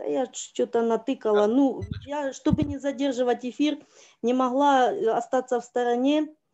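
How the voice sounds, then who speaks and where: A dark, mellow tone with fairly even intonation. The background is quiet. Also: woman, high pitch for a woman, moderate pace. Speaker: church member. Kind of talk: testimony. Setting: video call from phone. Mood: grateful, emotional testimony. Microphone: video call.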